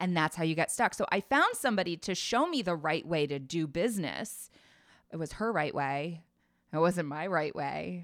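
Using a plain, everyday voice, a woman with an American accent speaks at a moderate pace and fairly low pitch with lively intonation, in a very clean recording with a silent background. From US South, Nashville, Tennessee. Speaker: life coach. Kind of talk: interview conversation.

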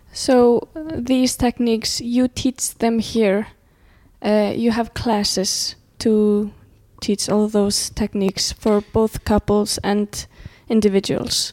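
Speaking very slowly in an Icelandic accent, a woman has a fairly high pitch and a dark, mellow tone, monotone and flat in intonation. Her loudness stays very even, and the sound is dry and close with no echo. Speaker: podcast co-host. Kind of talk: casual chat.

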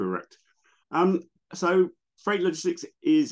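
A man's voice with vocal fry, against a quiet background. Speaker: logistics policy expert. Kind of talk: casual interview. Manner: hesitant, filler-heavy.

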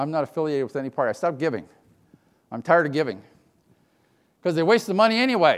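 Animated and very fast, a man's fairly high voice makes very wide pitch swings, broken by long, frequent pauses. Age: 60s. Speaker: conference keynote speaker. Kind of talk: keynote speech. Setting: stage with audience.

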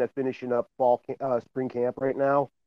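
At a moderate pace, a man speaks in an unremarkable speaking voice with a medium pitch. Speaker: football coach. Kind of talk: casual chat.

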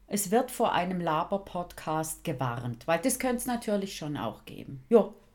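A woman with a fairly low voice and vocal fry speaks with hardly any pauses, swinging widely in both pitch and loudness. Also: moderate pace. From St. Gallen, Switzerland. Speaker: podcast host. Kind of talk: casual chat.

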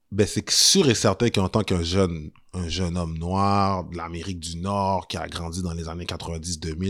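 At a moderate pace, a man speaks in a very deep, low voice with monotone, flat intonation on a very clean recording with a silent background. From Montreal, Quebec (Saint-Michel). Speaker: historian and tour guide. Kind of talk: casual interview.

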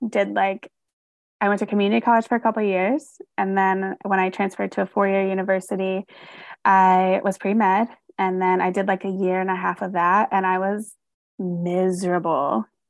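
At a moderate pace, a woman talks with medium pitch and monotone, flat intonation, the sound dry and close with no echo over a quiet background. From North Carolina, US South. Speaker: social worker and therapist. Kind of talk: casual interview.

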